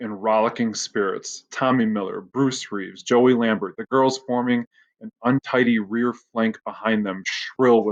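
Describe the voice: Nothing can be heard in the background. The text gets a plain read-aloud.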